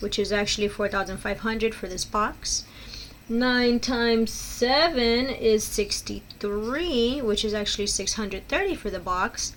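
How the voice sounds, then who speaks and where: Using a normal speaking voice, a woman with a fairly high pitch talks at a fairly slow pace with ordinary pitch variation. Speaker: elementary math teacher. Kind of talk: tutorial.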